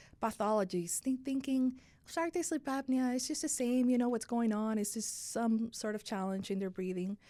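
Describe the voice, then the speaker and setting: A woman with a Spanish accent speaks at a moderate pace in a fairly high, dark, mellow voice with ordinary pitch variation. The recording is very clean, with a silent background. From Dominican Republic. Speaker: sleep medicine physician. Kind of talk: podcast interview.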